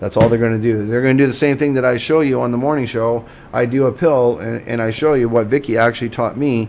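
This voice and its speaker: A man's medium-pitched voice moves fairly quickly, the intonation fairly even. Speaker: cannabis show host. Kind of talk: livestream monologue. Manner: fast; halting, many fillers.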